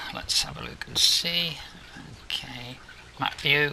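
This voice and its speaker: Speaking at a fairly slow pace with an English accent, a man is heard over noticeable background noise. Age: 70s. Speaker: gaming video creator. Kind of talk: gameplay commentary. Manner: casual, hesitant with many ums.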